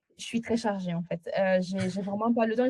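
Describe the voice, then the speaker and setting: Somewhat breathy and dark, mellow in tone, a woman speaks with fairly even intonation in a dry, close sound with no echo. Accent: slight Italian. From Italy. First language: Italian (speaking French). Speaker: agency founder, client testimonial. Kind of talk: interview testimonial. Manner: halting, many hesitations.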